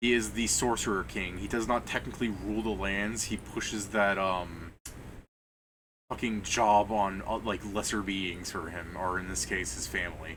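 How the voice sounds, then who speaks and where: A man's fairly low-pitched voice with vocal fry, a moderate pace, and ordinary pitch variation. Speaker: game master. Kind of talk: tabletop game session. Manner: casual, halting.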